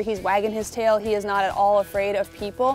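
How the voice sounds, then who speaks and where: Faint music plays behind a woman who speaks at a very fast pace, the sound dry with no echo. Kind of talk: interview answer. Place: open country. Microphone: lapel.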